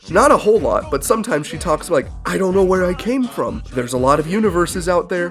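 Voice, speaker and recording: A fairly quick delivery over music in the background. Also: man. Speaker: video game and movie reviewer. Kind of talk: casual commentary review.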